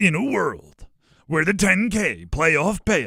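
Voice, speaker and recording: In a put-on character voice, someone speaks with a raspy, dramatic tone at a middle pitch and a fairly slow pace. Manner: dramatic movie trailer announcer.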